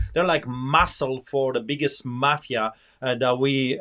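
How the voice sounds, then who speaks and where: A man's fairly high voice with a Polish accent. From Poland. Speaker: pastor. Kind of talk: interview.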